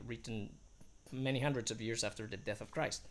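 The man's voice carries vocal fry. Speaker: singing teacher reviewing a book. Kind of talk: casual vlog commentary. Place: home room. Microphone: phone near.

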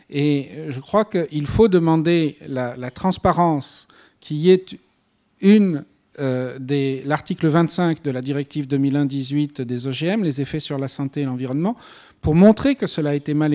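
Against a quiet background, a man talks at a fairly slow pace with a fairly high pitch, ordinary pitch variation and a dark, mellow tone. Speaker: panel speaker on GMO regulation; speaker. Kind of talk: panel discussion answer. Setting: conference hall with audience. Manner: hesitant with fillers. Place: hall. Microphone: handheld.

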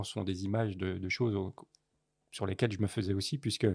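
This man's intonation stays fairly even on a very clean recording with a silent background. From France, Paris. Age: 60s. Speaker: photojournalist. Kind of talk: interview conversation.

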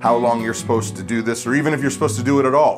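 Clear music plays in the background. A man speaks at a very fast pace. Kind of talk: tutorial. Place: home room.

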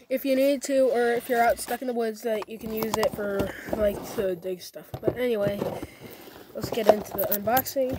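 A man at a fairly slow pace, dry with no echo, over loud background noise. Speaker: product reviewer. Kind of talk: casual unboxing talk to camera. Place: garden. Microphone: phone near.

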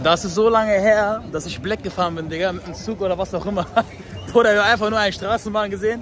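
Someone speaks at a very fast pace in a dry recording with no echo, crowd noise in the background. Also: man. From Germany, North Rhine-Westphalia (Langenfeld); North Rhine-Westphalia, Germany. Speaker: YouTuber vlogger. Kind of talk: casual vlog. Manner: animated. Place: street. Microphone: phone near.

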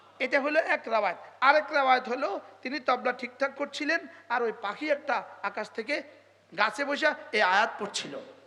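With an animated tone, a man projects a raised voice at an extremely high pitch, with ordinary pitch variation. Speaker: Islamic preacher. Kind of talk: sermon.

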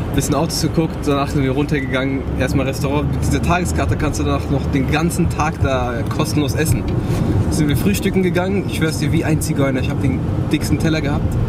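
A man speaks at a very fast pace. Loud background noise runs underneath. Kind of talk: casual vlog chat. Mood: amused, storytelling. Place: car. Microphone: phone near.

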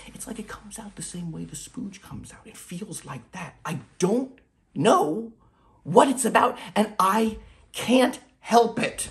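Shouting in an anxious tone, a man speaks at a fairly slow pace with a high pitch, lively intonation and big swings in loudness. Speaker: actor. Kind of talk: dramatic monologue self-tape, confessional and darkly comic. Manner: anxious, rambling confession with halting self-corrections; bursts into loud shouted outbursts. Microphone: phone near.

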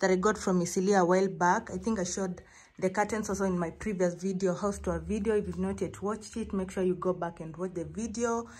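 A woman rushes along at a very fast pace in a somewhat breathy voice with monotone, flat intonation. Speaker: home vlogger. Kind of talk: casual vlog chat. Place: home room.

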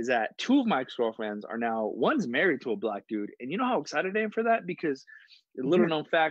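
The speaker talks at a very fast pace with very wide pitch swings. The background is quiet and the sound is dry with no echo. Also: man. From Farmington, New Mexico, Navajo; New Mexico. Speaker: stand-up comedian. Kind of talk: casual chat. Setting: video call. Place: home room. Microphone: earbuds.

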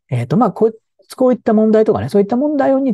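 A man's voice has a dark, mellow tone and is somewhat breathy. The sound is dry, without echo. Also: quiet background. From Japan, Tokyo. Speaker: film commentator and professor; film commentator. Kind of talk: solo video commentary. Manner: casual with many fillers and hesitations. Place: home room. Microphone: lapel.

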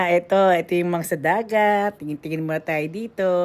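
A woman's fairly low pitch and animated tone on a very clean recording with a silent background. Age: middle-aged. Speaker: vlogger. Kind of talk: casual vlog narration. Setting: outdoors.

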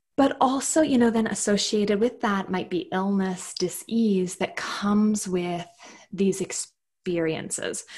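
A woman with a Canadian accent speaks at a fairly slow pace in a somewhat breathy voice. Her pitch varies in an ordinary way, and the background is quiet. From Canada. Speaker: clinical psychologist and yoga instructor; yoga instructor. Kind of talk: casual interview. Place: home room.

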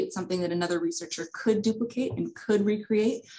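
The voice is somewhat breathy, set against a quiet background. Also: woman. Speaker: presenter. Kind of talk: presentation. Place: office. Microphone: webcam.

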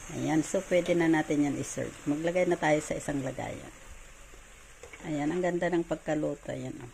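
Over noticeable background noise, a woman with a very deep, low pitch speaks at a moderate pace in a monotone, flat way. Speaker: cooking vlogger. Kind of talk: cooking tutorial.

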